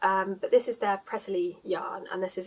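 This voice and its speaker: At a moderate pace, a woman with a southeast English accent speaks at medium pitch in monotone, flat intonation. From southeast England, Surrey area. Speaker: knitting podcaster. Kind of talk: casual vlog chat. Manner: frequent filler 'um'.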